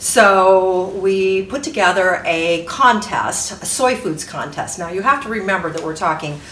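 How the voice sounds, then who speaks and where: Speaking at a fairly slow pace with hardly any pauses, a woman with a medium pitch uses lively intonation amid audible room echo and noticeable background noise. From northwest Ohio. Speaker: food industry business owner. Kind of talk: interview testimony.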